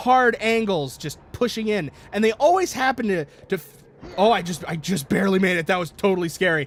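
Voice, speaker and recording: Loud and high-pitched, a man talks at a fairly quick pace with lively intonation. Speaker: gaming YouTuber. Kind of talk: let's play commentary. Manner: halting, many fillers and restarts.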